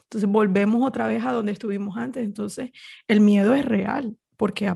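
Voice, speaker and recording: Somewhat breathy, a woman speaks at a fairly high pitch with a dark, mellow tone. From Colombia, Barranquilla (Caribbean coast). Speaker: Spanish teacher. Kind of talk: interview conversation. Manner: halting, repeats words.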